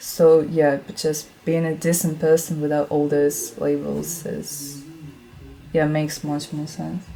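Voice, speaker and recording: Against music in the background, a woman with a very deep, low pitch speaks at a fairly slow pace in a monotone, flat intonation, with big swings in loudness. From Russia. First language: Russian. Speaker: vegan video creator. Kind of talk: casual chat.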